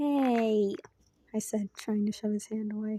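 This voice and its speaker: Talking at a fairly slow pace, the speaker is soft-spoken. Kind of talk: fan fiction story reading. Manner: quiet, soft-spoken.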